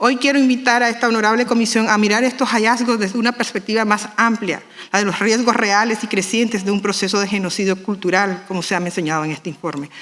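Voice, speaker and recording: Speaking at a very fast pace with a Nicaraguan accent, a woman with a fairly high pitch and ordinary pitch variation is heard over noticeable background noise. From Nicaragua Caribbean Coast, Miskito people. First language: Miskito (speaking Spanish). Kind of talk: formal speech at panel. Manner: formal.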